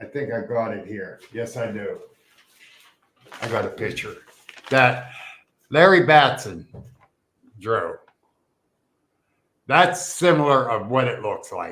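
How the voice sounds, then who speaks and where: Speaking at a fairly slow pace with long, frequent pauses, a man with a medium pitch uses an animated tone, lively intonation and big swings in loudness. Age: 60s. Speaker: Bigfoot researcher and podcast host. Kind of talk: casual storytelling in podcast interview.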